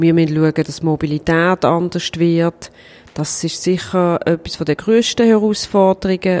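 A woman's unremarkable speaking voice, fairly low in pitch, with fairly even intonation and a fairly slow pace. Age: 40s. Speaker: cantonal government minister. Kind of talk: interview.

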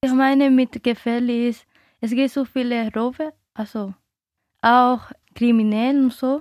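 Speaking slowly in a Dominican accent, a woman with a high voice keeps a flat, monotone delivery, pausing long and often, her loudness swinging widely in a dry, close recording with no echo. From Dominican Republic. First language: Spanish (speaking German). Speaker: interviewee. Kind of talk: radio interview. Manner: halting, non-native German.

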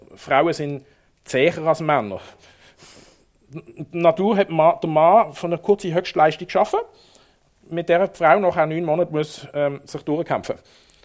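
With a high pitch and ordinary pitch variation, a man speaks at a fairly slow pace, pausing long and often while his loudness swings widely. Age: 50s. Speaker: city tour guide and local chronicler. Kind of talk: public book talk. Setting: library stage with audience.

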